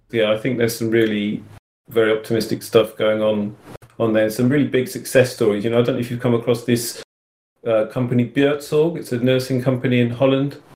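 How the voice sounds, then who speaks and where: A man with an English accent speaks at a fairly quick pace, his medium-pitched voice following a fairly even intonation. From England. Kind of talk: casual chat. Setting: live audio room, called on stage. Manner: halting.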